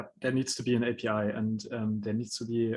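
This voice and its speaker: With a non-native accent, a man speaks at a moderate pace. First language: not English. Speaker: NFT platform founder presenting a proposal. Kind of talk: online panel discussion. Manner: halting, with many fillers.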